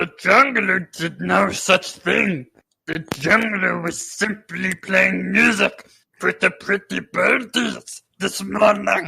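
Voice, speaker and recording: A man puts on a high-pitched character voice and delivers it at a very slow pace. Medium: actual play. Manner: speaks of himself in third person.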